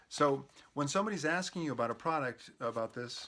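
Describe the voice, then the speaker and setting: A man's fairly high, bright and sharp voice with lively intonation, on a very clean recording with a silent background. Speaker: network marketing trainer. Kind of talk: tutorial. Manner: casual; fast.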